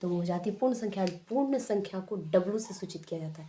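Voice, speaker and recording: A woman's somewhat breathy voice of medium pitch, dark, mellow tone, ordinary pitch variation, and moderate pace. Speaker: maths teacher. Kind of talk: tutorial. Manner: repetitive, explanatory.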